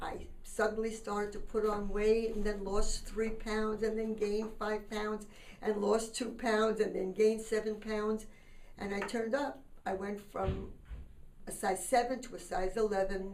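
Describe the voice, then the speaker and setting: Audible room echo surrounds a woman with a fairly high voice. She speaks at a moderate pace in a flat monotone. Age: 70s. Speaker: diet center founder. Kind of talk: personal testimony.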